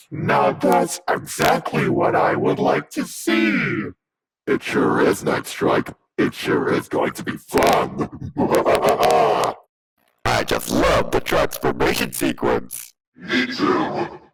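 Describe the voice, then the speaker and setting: A man's put-on character voice at a very slow pace, with long, frequent pauses. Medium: machinima. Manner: eager, enthusiastic.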